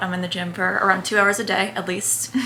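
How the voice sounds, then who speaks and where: A woman with an American accent talks at a fairly quick pace and a medium pitch. Audible room echo and noticeable background noise surround her voice. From New Jersey, Bergen County. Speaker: lifestyle and fitness content creator. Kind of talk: casual Q&A chat to camera. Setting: at home in her bedroom. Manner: animated, chatty.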